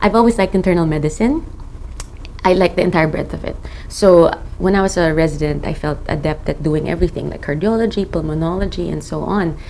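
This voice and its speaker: A woman's fairly low voice comes through with a good deal of background noise. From Philippines. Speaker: rheumatologist. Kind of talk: interview monologue.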